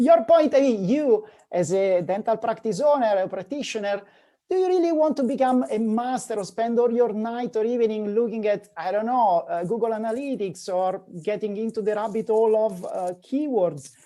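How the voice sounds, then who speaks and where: A man with an Italian accent speaks at a moderate pace in a high, dark, mellow voice with lively intonation. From Italy (north). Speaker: digital marketing agency founder. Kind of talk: podcast interview.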